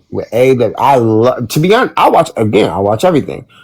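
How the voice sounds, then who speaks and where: This man speaks with lively intonation. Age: 40s. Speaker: wrestling podcast panelist. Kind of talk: casual chat. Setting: live stream. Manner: animated.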